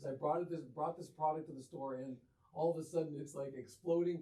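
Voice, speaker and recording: The man's voice has a dark, mellow tone, is somewhat breathy and sits fairly high. He talks at a very fast pace with ordinary pitch variation. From Windsor, Ontario, Canada. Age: 60s. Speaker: clothing store co-owner. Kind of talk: interview. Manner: animated.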